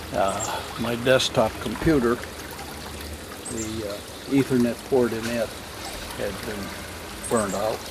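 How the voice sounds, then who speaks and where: A man's monotone, flat voice at medium pitch and a fairly slow pace, with noticeable background noise. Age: 70s. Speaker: DIY garden builder. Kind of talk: casual vlog narration. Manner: halting.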